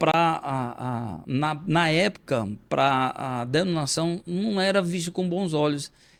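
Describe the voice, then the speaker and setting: A man's voice with ordinary pitch variation. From Brazilian Northeast, Currais Novos (Rio Grande do Norte). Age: 50s. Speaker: pastor and poet. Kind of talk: interview conversation. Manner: halting, many repetitions.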